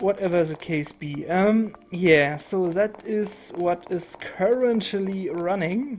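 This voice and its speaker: Talking at a very slow pace with hardly any pauses, a woman uses ordinary pitch variation over noticeable background noise. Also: medium pitch for a woman. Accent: German. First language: German. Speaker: gaming YouTuber. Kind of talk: casual channel update monologue. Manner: halting, many fillers.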